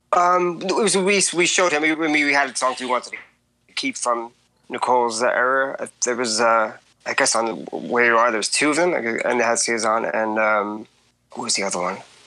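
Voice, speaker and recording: A man talks at a moderate pace with lively intonation and a bright, sharp tone. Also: medium pitch for a man. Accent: American. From Long Island, New York. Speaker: musician. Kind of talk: interview.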